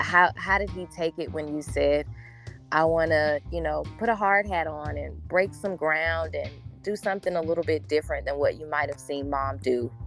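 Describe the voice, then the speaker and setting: A woman talks at a moderate pace. Behind her voice, music is playing. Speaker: podcast host, real estate agent. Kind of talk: podcast interview host. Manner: warm, upbeat.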